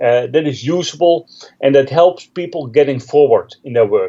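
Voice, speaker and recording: A man with a Dutch accent, a fairly high pitch and a moderate pace. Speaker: Linux trainer and author. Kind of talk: interview.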